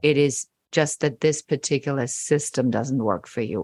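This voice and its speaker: With a slight German accent, a woman speaks at a very deep, low pitch against a quiet background. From Germany. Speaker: business coach. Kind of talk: podcast interview.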